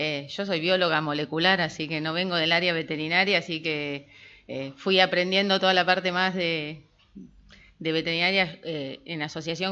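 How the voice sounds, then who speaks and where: Against a quiet background, a woman with a fairly low, bright and sharp voice speaks at a moderate pace in monotone, flat intonation. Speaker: researcher, molecular biologist. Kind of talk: lecture.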